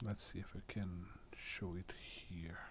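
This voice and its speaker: A man with a non-native accent and a dark, mellow tone. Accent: foreign accent, self-noted. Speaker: tech demonstrator. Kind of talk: tutorial. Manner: halting.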